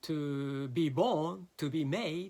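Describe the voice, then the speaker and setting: This voice belongs to a man. It sits fairly high in pitch. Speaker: philosophy lecturer. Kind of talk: lecture. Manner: slow; halting, many fillers.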